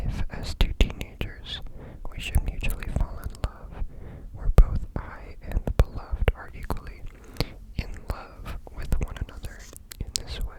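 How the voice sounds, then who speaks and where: Someone whispers in a gentle tone. Noticeable background noise runs underneath. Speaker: ASMR content creator. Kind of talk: ASMR reading, sleep. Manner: gentle, whispered.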